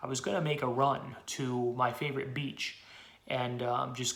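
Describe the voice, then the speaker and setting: With an American accent, a man speaks at a medium pitch in a monotone, flat way, with audible room echo and noticeable background noise. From Pennsylvania, US. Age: 20s. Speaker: political activist. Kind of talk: personal testimony. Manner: fast.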